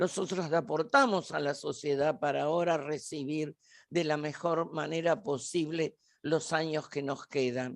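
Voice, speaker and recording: Speaking at a fairly slow pace against a quiet background, a woman uses a very deep, low pitch with fairly even intonation. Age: 80s+. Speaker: event host and journalist. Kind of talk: event introduction.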